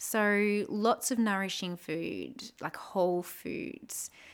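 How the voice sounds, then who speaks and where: A woman of medium pitch with an Australian accent, on a very clean recording with a silent background. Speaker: podcast host, spirituality and astrology. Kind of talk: solo podcast talk on astrology. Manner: casual, warm, with laughter.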